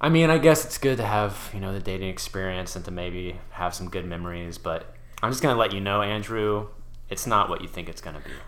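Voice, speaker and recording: With a normal speaking voice, a man talks at a fairly quick pace in a fairly low pitch, using lively intonation and big swings in loudness. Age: 20s. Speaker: guest. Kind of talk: casual chat.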